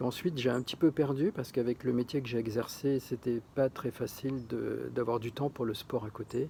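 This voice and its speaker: A man's dark, mellow voice, somewhat breathy. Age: 60s. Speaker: retired chef applying to a TV show. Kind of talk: casting application video monologue. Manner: hesitant, many fillers and repetitions.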